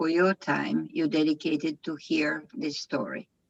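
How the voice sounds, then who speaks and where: A woman with a non-native accent talks very slowly at a fairly low pitch. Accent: foreign accent, own remark. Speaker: equestrian program founder and riding instructor. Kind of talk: lecture. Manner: halting, many fillers.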